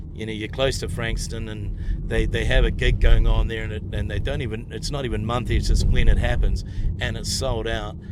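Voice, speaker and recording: Someone with a New Zealand accent talks at a fairly quick pace with big swings in loudness, audible room echo and noticeable background noise. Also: man. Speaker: stand-up comedian. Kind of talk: casual chat. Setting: in a car.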